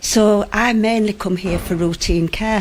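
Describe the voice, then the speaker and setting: A woman with a Yorkshire accent and a fairly high pitch. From West Yorkshire. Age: 70s. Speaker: patient. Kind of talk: radio interview. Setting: GP surgery, live broadcast.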